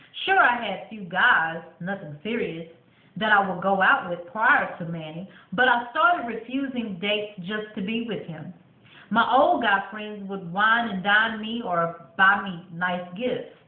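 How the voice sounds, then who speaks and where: In audible room echo, a woman speaks at a fairly slow pace, her loudness swinging widely. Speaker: vlogger reading her book. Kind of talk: reading aloud. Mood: warm, storytelling. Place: bathroom. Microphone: webcam.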